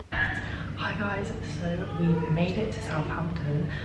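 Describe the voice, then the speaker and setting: Background noise is noticeable. The speaker is a woman. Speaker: vlogger. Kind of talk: casual vlog to camera.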